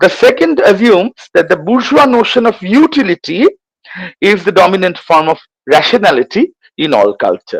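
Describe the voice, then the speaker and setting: Heard in a dry, close sound with no echo, a man with a high voice talks at a moderate pace, his pitch swinging very widely while his loudness stays very even. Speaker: history professor. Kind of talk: lecture. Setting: online lecture. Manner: halting.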